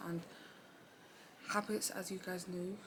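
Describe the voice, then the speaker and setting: Over noticeable background noise, a woman talks at a fairly quick pace in a medium pitch with fairly even intonation. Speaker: self-improvement vlogger. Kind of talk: casual vlog talk. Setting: seated at home in office chair. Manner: casual, halting with fillers.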